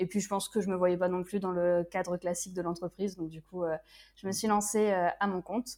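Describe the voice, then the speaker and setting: A woman's medium-pitched voice, flat and monotone, at a fairly quick pace. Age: 20s. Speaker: freelance web writer. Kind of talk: casual interview. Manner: hesitant, many filler sounds.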